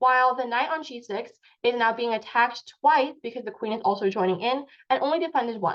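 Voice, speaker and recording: A woman talks at a high pitch for a woman, fairly quickly, with ordinary pitch variation. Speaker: chess teacher. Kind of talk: online lecture. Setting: video call. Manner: fast.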